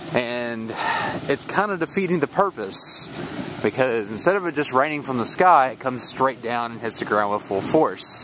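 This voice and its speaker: A man with an American accent speaks at medium pitch and a moderate pace. His intonation is lively, with noticeable background noise behind him. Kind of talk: casual talk to camera. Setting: outdoors.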